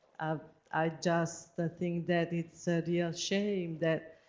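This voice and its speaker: A woman speaks with an Italian accent in a fairly low voice. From Italy. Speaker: researcher. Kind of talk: seminar presentation. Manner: halting.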